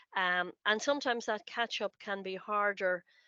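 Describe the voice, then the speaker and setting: An Irish accent from a woman at a moderate pace, dry and close with no echo. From Ireland. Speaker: college lecturer. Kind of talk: information session talk. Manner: halting, many fillers and repeats.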